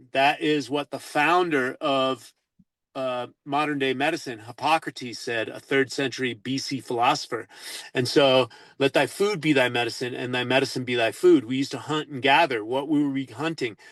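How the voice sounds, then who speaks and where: Against a quiet background, a man talks in an ordinary speaking voice at a medium pitch, with fairly even intonation and a moderate pace. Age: 60s. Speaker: natural health advocate. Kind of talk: interview. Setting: radio show.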